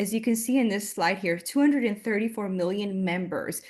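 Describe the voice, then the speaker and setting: This is a woman with a Miami accent. Behind her, the background is quiet. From Miami, Florida. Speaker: marketing consultant. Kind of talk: webinar presentation. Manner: fast; loud.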